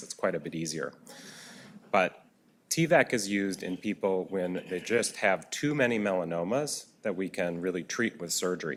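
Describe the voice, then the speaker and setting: This man talks at a fairly quick pace with a Minnesota accent. His voice sits very deep and low. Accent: flat Minnesota. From US Midwest, Minnesota. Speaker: physician speaker. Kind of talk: lecture. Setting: auditorium with audience.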